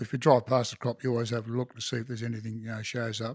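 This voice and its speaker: The recording is very clean, with a silent background and a dry, close sound with no echo. A man talks with a rural Australian accent. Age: 60s. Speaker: farmer. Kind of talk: casual interview chat. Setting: at the homestead over a cuppa.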